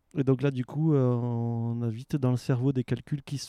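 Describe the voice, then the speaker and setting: Dry, close sound with no echo, a dark, mellow tone, monotone, flat intonation and a fairly slow pace. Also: man. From France, Aveyron. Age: 40s. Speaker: waste prevention worker and traveller. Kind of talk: casual interview. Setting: outdoors in a garden.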